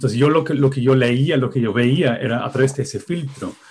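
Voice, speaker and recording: A man with a non-native accent talks at a medium pitch. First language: not Spanish (speaking Spanish). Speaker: music researcher. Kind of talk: interview. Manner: halting.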